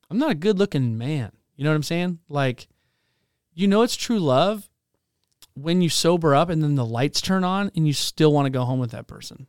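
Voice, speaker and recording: Recorded very cleanly with a silent background and a dry, close sound with no echo, a man speaks at a moderate pace, his fairly high pitch carried by lively intonation. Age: 30s. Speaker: pastor. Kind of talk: testimony. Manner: animated.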